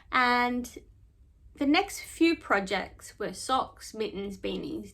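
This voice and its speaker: A woman with an Australian accent speaks at a very slow pace. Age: 40s. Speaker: knitting podcaster. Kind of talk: casual chat. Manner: casual, hesitant with fillers.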